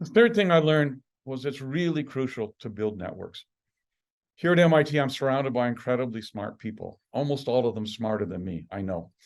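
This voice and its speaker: With an unremarkable speaking voice, a man talks at a fairly quick pace and medium pitch, his intonation lively and his loudness swinging widely over a quiet background. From Canada, Saskatchewan (Estevan). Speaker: professor. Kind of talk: lecture.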